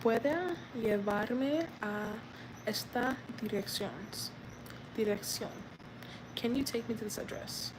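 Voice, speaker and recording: A soft-spoken woman with an American accent, fairly high in pitch, very slow, with ordinary pitch variation and long, frequent pauses. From United States. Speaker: vlogger learning Spanish. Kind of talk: live stream language practice. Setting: outdoors. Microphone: too quiet.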